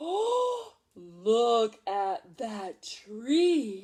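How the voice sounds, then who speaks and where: In a put-on character voice, a woman speaks at a fairly high pitch. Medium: read story. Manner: broken grammar, says me instead of I.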